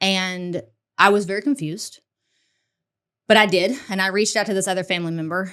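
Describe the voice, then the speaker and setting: With an American accent, a woman at medium pitch speaks at a fairly quick pace in a bright, sharp tone, with ordinary pitch variation, long, frequent pauses and a very clean recording over a silent background. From US South, Tennessee (Nashville). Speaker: executive protection agent and co-host. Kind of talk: casual chat.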